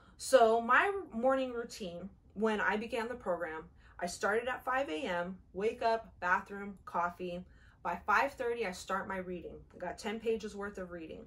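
Her loudness swings widely as a woman speaks fairly slowly with ordinary pitch variation. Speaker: fitness challenge vlogger. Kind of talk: casual vlog chat. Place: home room. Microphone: camera far.

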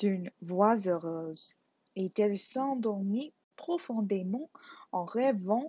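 In quiet surroundings, the reading voice sounds unforced.

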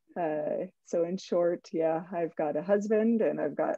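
A woman's voice with ordinary pitch variation, a dry sound with no echo and a quiet background. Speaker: school principal. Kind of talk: panel discussion. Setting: video call. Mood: friendly, smiling. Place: home room. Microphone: headset.

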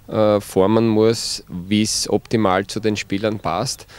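In a Styrian accent, a man with a fairly low pitch speaks at a fairly slow pace in a monotone, flat intonation, with a dry sound and no echo. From Styria, Austria. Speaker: football coach. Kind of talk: interview. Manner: hesitant with many fillers. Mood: calm, positive. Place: open country. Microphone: handheld.

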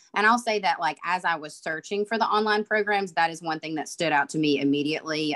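Speaking very fast in a Southern US accent, a woman uses a very deep, low pitch with ordinary variation against a quiet background. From Alabama, US South. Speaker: IT manager at a utility, online MBA alumna; panelist. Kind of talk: panel discussion. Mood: reflective, earnest. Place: home room. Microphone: video call.

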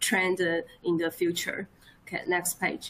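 A woman speaks at a very slow pace in a flat monotone. Light background noise sits behind her. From Taiwan. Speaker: economic researcher; presenter. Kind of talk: presentation. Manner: halting. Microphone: webcam.

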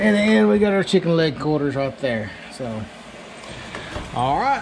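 A man at a fairly slow pace, fairly high pitch and big pitch swings, slightly mellow tone over faint background noise

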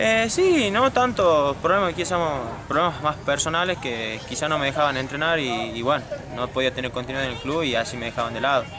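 Noticeable background noise accompanies a man talking at a fairly quick pace in a dry sound with no echo. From Argentina, Tucumán. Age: 20s. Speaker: football player. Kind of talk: interview. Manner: halting. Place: stadium.

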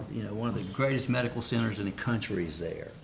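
A man speaks at a medium pitch, somewhat breathy. There is audible room echo. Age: 60s. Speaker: city council member. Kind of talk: public meeting remarks. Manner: halting, many fillers and repetitions.

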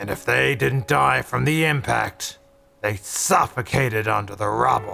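A raspy, fairly low-pitched put-on character voice from a man, with very wide pitch swings and faint music behind. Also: moderate pace. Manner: ominous, grim.

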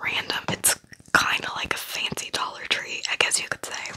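A soft-spoken woman whispering over light background noise. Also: moderate pace. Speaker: ASMR creator. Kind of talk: soft casual ASMR chat. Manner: soft ASMR whisper close to the mic. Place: home room. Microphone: studio mic.

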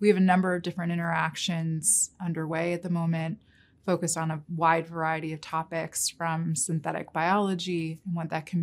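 Monotone, flat intonation in an American accent. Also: woman. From New York City. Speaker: investment research director. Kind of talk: interview. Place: meeting room.

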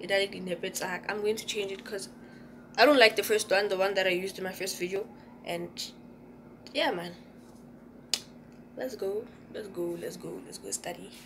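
Amid noticeable background noise, a woman talks at a fairly quick pace with big swings in loudness and ordinary pitch variation. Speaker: student vlogger. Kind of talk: casual vlog chat. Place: home room. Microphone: phone near.

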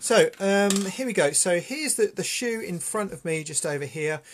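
Light background noise behind speech at a moderate pace. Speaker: art teacher. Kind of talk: tutorial. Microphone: phone near.

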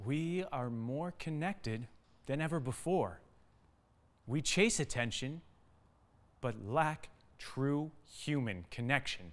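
Long pauses come often. The man talks at a very slow pace. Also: lively intonation. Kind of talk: dramatic spoken-word poetry. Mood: urgent, earnest. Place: studio.

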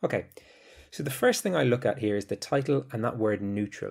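On a very clean recording with a silent background, a man has an unremarkable speaking voice, medium in pitch with ordinary pitch variation. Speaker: English teacher. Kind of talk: educational podcast lecture, with a poem read aloud. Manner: clear, measured teacherly delivery; measured, solemn, grave reading with pauses at line breaks.

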